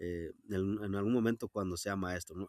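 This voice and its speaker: In a very clean recording with a silent background and a dry, close sound with no echo, a man with a western Mexican accent speaks with ordinary pitch variation. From Jalisco sierra, Mexico (Wixárika community). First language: Wixárika (speaking Spanish). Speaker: rural teacher. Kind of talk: interview. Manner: halting, many fillers.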